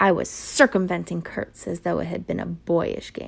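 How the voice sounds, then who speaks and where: Doing a raspy put-on character voice, a woman speaks at a moderate pace with big swings in loudness. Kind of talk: classic audiobook narration. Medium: read story. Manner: measured, reflective.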